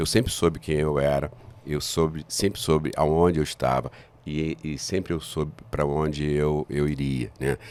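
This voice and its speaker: At a moderate pace, a man with a very deep, low voice talks with ordinary pitch variation. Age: 60s. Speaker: business founder and professor. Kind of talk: interview. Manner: halting, many fillers and repetitions.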